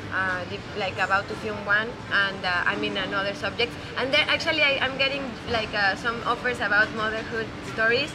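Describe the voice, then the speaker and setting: With a Spanish accent, a woman speaks at a fairly quick pace and a fairly high pitch with ordinary pitch variation, amid noticeable background noise and audible room echo. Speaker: film director. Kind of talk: interview. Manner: halting, many repetitions.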